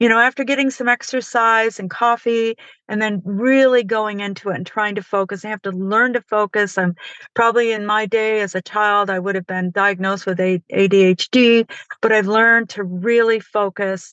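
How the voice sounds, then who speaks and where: A woman with an American accent, fairly high pitch and moderate pace. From upstate New York, Finger Lakes. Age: 60s. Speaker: author. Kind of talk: interview.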